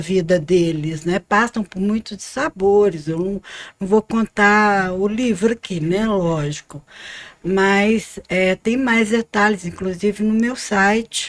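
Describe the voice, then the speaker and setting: The voice moves at a very slow pace. The sound is dry and close, with no echo. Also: woman. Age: 60s. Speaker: author. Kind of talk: podcast interview. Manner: halting.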